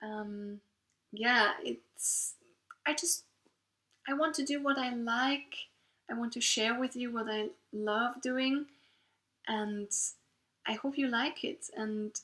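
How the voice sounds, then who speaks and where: With a Swiss German accent, a woman speaks very slowly in a bright, sharp tone. Her pitch varies in an ordinary way, and she takes long, frequent pauses. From Switzerland. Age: 30s. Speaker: knitting podcaster. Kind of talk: casual monologue. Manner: halting.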